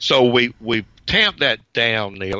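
A man's medium-pitched voice with a Southern US accent, bright and sharp in tone, with ordinary pitch variation. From US South, Georgia. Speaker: retired professor, ham radio operator. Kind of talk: interview.

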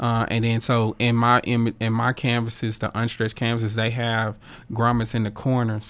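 At a moderate pace, a man speaks in a medium-pitched, monotone, flat voice. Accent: Southern US. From North Louisiana, Monroe. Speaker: painter and art professor. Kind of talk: interview. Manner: halting.

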